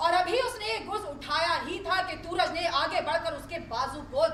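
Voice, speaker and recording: A woman speaks in a raised, projected voice at an extremely high pitch, with a dramatic tone and lively intonation. Noticeable background noise is present. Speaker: dastango, live Urdu storyteller. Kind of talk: dastangoi live storytelling performance of a classical Urdu tale. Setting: live event in a university hall. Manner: dramatic storytelling narration.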